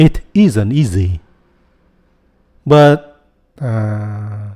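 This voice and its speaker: A man with a Vietnamese accent talks in a fairly low pitch, his tone dark and mellow. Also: lively intonation. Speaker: YouTuber, software developer. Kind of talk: casual vlog monologue.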